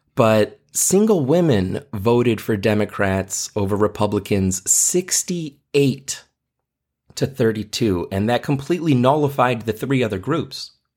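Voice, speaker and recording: A man speaks at a very slow pace with lively intonation in a very clean recording over a silent background. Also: medium pitch for a man. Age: 40s. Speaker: podcast host and teacher. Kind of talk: solo commentary monologue.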